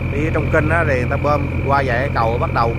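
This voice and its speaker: The recording is dry, with no echo, and loud background noise. A man talks at a fairly quick pace. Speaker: boat operator vlogger. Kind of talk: casual vlog chat. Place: boat.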